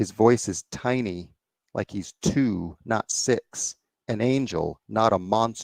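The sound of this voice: The speaker reads in an unforced reading voice with ordinary pitch variation over a quiet background.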